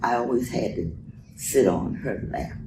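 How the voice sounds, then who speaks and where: In an American accent, a man speaks at a fairly slow pace, with audible room echo. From Florida, West Palm Beach. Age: 90s. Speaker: retired factory and lab worker. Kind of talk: interview. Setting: daughter's home.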